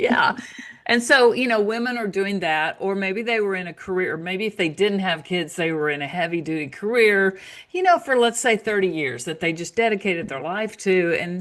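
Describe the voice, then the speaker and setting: Speaking in an American accent, a woman uses a plain, everyday voice at medium pitch. She keeps a moderate pace with lively intonation. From United States. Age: 60s. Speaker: naturopath and author. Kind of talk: interview.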